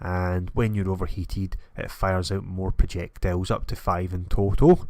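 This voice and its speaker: A man with a Scottish accent and a very deep, low pitch talks at a moderate pace with monotone, flat intonation, in a very clean recording with a silent background. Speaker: gaming YouTuber. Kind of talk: game preview commentary.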